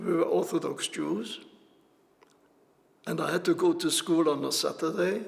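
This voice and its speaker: With noticeable background noise, a man speaks at a fairly slow pace and leaves long, frequent pauses. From Austria, Vienna. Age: 80s+. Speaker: Holocaust survivor, grandfather. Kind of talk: personal testimony.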